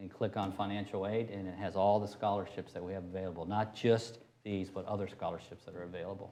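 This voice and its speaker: A man with a fairly low pitch talks at a very fast pace in monotone, flat intonation. Noticeable background noise runs underneath. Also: hardly any pauses. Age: 60s. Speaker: university chancellor. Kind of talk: interview. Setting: on location at a university campus.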